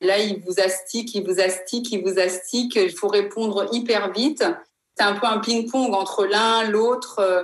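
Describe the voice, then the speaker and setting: A woman in an ordinary speaking voice talks at a fairly slow pace and a medium pitch, with very even loudness and fairly even intonation. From Africa. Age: 50s. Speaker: former reality TV contestant. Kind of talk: testimony.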